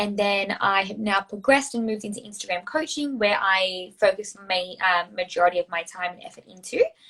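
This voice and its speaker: This woman speaks with an Australian accent at a moderate pace, her pitch fairly high with ordinary pitch variation. Her tone is bright and sharp. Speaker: social media coach. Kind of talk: casual interview.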